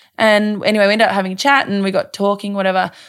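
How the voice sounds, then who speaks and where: A woman's medium-pitched voice rushes along at a very fast pace. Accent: Australian. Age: 20s. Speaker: mother and blogger. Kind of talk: casual chat. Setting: recorded in a bed.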